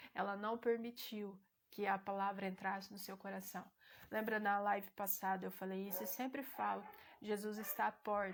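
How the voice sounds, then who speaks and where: The pace is moderate. A woman speaks with flat, monotone intonation. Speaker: lay preacher hosting a live stream. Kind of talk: sermon-style teaching on a live stream. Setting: live stream with chat.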